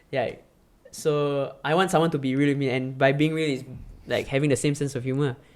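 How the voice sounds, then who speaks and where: Speaking with a Singaporean accent, a man has a fairly high pitch and fairly even intonation. His pace is moderate. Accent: Singaporean English (Singlish). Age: 20s. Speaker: content creator and film director. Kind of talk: casual chat. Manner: halting.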